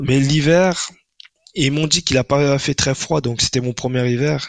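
Recorded with a dry, close sound and no echo, a man of medium pitch speaks fairly slowly with ordinary pitch variation. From Paris suburbs, France. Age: 30s. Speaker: junior front-end developer. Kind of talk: casual interview. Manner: halting, with many repetitions and fillers.

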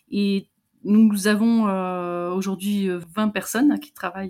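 A woman's very slow speech with a dark, mellow tone. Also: very clean recording, silent background. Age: 50s. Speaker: digital accessibility consultant. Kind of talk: interview. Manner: halting.

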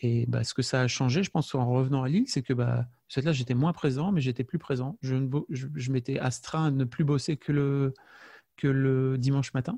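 Against a quiet background in a dry, close recording with no echo, a man speaks at a moderate pace in a medium pitch, his somewhat breathy, dark, mellow tone holding very even loudness and fairly even intonation. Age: 40s. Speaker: podcaster and father. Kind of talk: interview. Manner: halting, with many fillers and repetitions.

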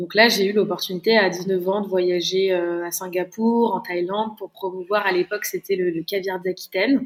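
With fairly even intonation, a woman speaks at a fairly slow pace and a medium pitch. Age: 20s. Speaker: chef and business founder. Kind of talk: interview. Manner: halting.

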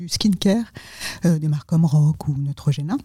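The voice has a dark, mellow tone that is somewhat breathy, with fairly even intonation. It sounds dry and close, with no echo. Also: woman. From France / Tunisia (Franco-Tunisian). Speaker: corporate executive. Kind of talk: interview. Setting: office.

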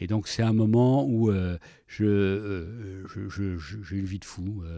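Over a very clean recording with a silent background, a man talks in a dark, mellow tone with fairly even intonation. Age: 60s. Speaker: business leader. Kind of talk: interview. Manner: halting, repeats words.

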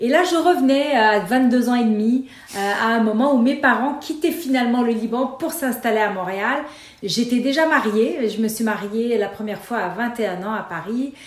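There is audible room echo and noticeable background noise. A woman speaks at a fairly slow pace in a high pitch with ordinary pitch variation. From Lebanon (Beirut). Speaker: nonprofit founder and board director. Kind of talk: interview.

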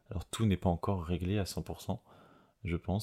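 A very deep, low-pitched man's voice, somewhat breathy with a dark, mellow tone, monotone, flat intonation and a fairly slow pace. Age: 30s. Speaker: podcast host. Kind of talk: unscripted personal monologue. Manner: hesitant, many fillers and repetitions.

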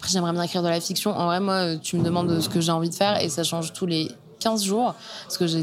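Over music in the background, a woman talks at a fairly low pitch with fairly even intonation. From Normandy, France (Caen). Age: young. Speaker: journalist and podcast author. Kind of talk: casual interview conversation. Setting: bar in a converted house, sitting in a bathtub.

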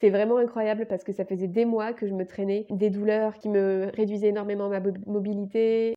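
A woman's fairly quick, monotone delivery with flat intonation. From France, Bordeaux region. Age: 20s. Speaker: naturopath and coach, podcast host. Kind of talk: personal story monologue.

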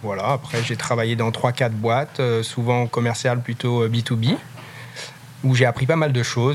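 A man speaks at a moderate pace and medium pitch with fairly even intonation. Noticeable background noise is present. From France, Loire. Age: 30s. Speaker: craft liqueur maker and business founder. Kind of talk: interview. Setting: in his warehouse.

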